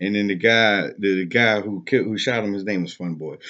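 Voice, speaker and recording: A man is speaking here. His pace is moderate. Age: 20s. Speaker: vlogger. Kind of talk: casual monologue. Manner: halting.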